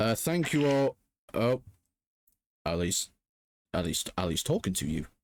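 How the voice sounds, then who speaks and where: Over a silent background in a very clean recording, a man with a medium pitch talks fairly slowly with long, frequent pauses and very wide pitch swings. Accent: Geordie. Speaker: podcast co-host. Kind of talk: casual chat. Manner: giggly.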